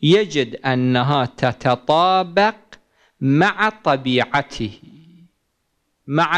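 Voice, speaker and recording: This man talks at a very slow pace. The background is quiet. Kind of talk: lecture. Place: hall. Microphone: podium.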